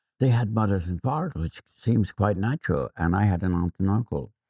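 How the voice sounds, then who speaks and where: A man with an Irish accent speaks at a moderate pace, his very deep, low pitch showing ordinary variation and a dark, mellow tone, in a dry, close sound with no echo. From Ireland, Athy, County Kildare. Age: 70s. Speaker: photographer. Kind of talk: interview, personal recollection. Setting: school visit. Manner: halting, repeats words.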